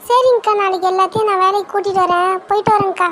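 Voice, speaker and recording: A woman's cartoonish character voice, extremely high-pitched, flat and monotone, at a fairly quick pace. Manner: chatty, ingratiating.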